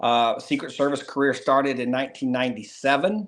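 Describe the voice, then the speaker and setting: Pitch rises and falls in an ordinary way while the words come at a moderate pace. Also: man. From North Carolina. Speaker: former Secret Service agent. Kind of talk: interview.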